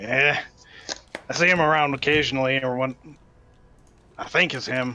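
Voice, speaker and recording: A man does a put-on character voice at a medium pitch. He keeps a moderate pace, with long, frequent pauses. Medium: actual play. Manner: folksy, chatty.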